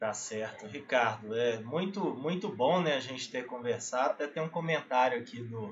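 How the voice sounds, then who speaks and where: A man talks at a moderate pace with a Minas Gerais accent. His pitch varies in an ordinary way. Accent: Mineiro Brazilian Portuguese. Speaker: webinar host, project management specialist. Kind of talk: webinar interview. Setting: online webinar.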